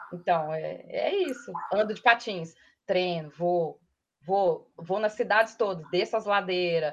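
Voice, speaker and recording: A woman with a Minas Gerais accent, medium-pitched, with ordinary pitch variation, a moderate pace and a quiet background. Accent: Minas Gerais (mineiro) accent, kept. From interior of Minas Gerais, Brazil (Matozinhos). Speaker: advertising professional. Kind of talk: casual chat.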